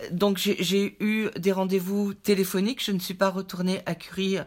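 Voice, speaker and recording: A very clean recording with a silent background captures a woman's medium-pitched voice. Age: 60s. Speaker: cancer patient. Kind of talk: testimony. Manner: halting.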